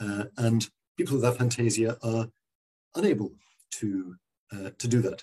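A man with a southern English accent speaks at a moderate pace and medium pitch, his tone dark and mellow, somewhat breathy, with ordinary pitch variation and long, frequent pauses. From London, England. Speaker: neurologist. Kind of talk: interview answers, explanatory. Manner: hesitant, many fillers and repeated words.

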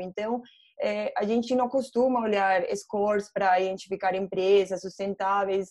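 A woman speaks in a Colombian accent at a moderate pace. Her medium-pitched voice has a dark, mellow tone. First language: Spanish (speaking Portuguese). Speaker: ESG investment analyst. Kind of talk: online panel debate. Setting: video call.

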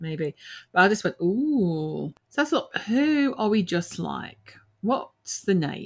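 A very slow delivery with an Australian accent. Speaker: paranormal podcast co-host. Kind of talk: casual chat.

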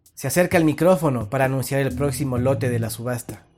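Music plays behind a man who talks fairly quickly, his pitch varying in an ordinary way. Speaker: horror story narrator. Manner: brisk, showman-like bid calling with rising tempo; oily, flattering salesman charm.

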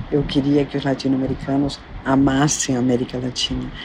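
Through noticeable background noise, a woman with a very deep, low pitch speaks at a moderate pace. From Argentina, Buenos Aires. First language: Spanish (speaking Portuguese). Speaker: psychoanalyst and former actress. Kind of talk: interview.

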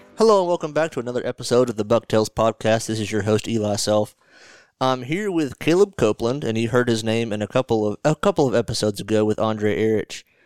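Delivered at a very fast pace with an American accent and ordinary pitch variation, the speech is captured in a very clean recording with a silent background and a dry, close sound with no echo. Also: man, medium pitch for a man. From north Georgia, US South. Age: 20s. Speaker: podcast host. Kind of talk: scripted outro; casual chat.

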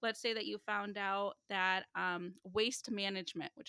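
A woman with a Chicago accent, medium pitch and a bright, sharp tone, at a moderate pace in a dry, close sound with no echo. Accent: Chicago American English. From Chicago suburbs, US Midwest. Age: 30s. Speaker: financial literacy coach. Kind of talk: casual interview chat. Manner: animated.

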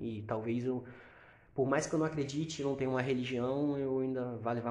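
With audible room echo, a man speaks at a moderate pace in a medium pitch with monotone, flat intonation. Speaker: podcast co-host, insurance broker. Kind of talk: casual chat.

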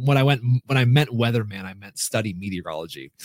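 Talking at a very fast pace, a man with an American accent shows ordinary pitch variation. The recording is very clean, with a silent background and a dry, close sound with no echo. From rural Minnesota. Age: 40s. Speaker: speaker and coach, former TV weatherman. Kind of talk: podcast interview.

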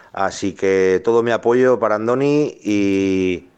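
A man speaks in a fairly low pitch. The background is quiet. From Álava, Basque Country. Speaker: listener sending voice message. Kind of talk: voice message.

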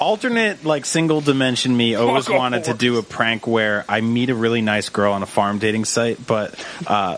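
Over noticeable background noise, a man speaks in a playful tone at a moderate pace, with ordinary pitch variation and very even loudness. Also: medium pitch for a man, hardly any pauses. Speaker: podcast guest. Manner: jokey, playful.

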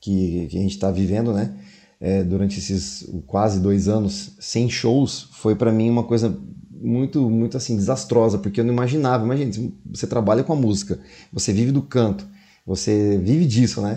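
A man with a fairly low, dark, mellow voice speaks at a moderate pace with lively intonation. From interior of São Paulo state, Brazil (São José do Rio Preto), teen years in Salvador. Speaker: singer and podcaster. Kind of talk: casual interview.

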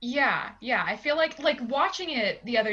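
Noticeable noise runs behind a woman whose pitch varies in an ordinary way. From Pittsburgh, Pennsylvania. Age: 20s. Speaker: podcast guest, movie fan. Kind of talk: casual chat.

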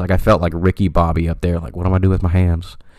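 Talking at a very fast pace, a man with a very deep, low voice keeps his intonation flat and monotone. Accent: American. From California (Stockton). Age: 20s. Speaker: podcast host. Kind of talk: casual solo monologue. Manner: talkative, many fillers.

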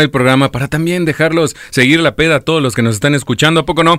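Lively intonation runs through this speech at a very fast pace. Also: man. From Michoacán, Mexico. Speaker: radio host. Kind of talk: casual chat. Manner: animated.

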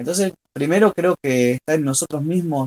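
This man has an Argentine accent and a dark, mellow tone. He talks at a moderate pace with ordinary pitch variation, in a dry, close sound with no echo. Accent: Rioplatense Argentine Spanish. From Argentina, Rosario. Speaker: blind football player. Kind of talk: interview. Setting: remote link.

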